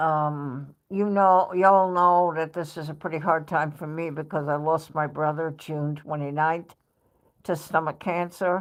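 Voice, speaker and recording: Against a quiet background, the speaker talks at a fairly slow pace in a New York accent with monotone, flat intonation. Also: woman. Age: 70s. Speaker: live streamer. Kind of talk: casual chat.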